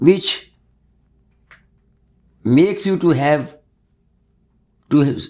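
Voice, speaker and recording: Speaking with an Indian accent, a man uses a fairly high pitch with ordinary pitch variation. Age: 80s+. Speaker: mathematics teacher. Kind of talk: interview answer.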